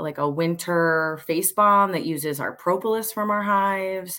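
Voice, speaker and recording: On a very clean recording with a silent background, a woman with an American accent speaks in a bright, sharp tone with fairly even intonation. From Pennsylvania, Montgomery County. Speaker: high school teacher and beekeeper. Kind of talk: casual chat.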